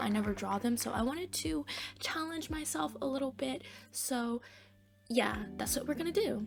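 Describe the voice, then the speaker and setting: A high-pitched woman's voice at a fairly quick pace, very wide pitch swings, noticeable background noise behind it. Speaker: art YouTuber. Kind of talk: casual drawing vlog. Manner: quiet, low energy; chewing gum while talking. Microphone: close to the mic, mouth noises.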